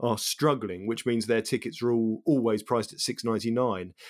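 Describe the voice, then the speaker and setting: With an English accent, a man talks at a medium pitch and a fairly quick pace. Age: 30s. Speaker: podcast co-host. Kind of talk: casual chat. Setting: remote recording, online.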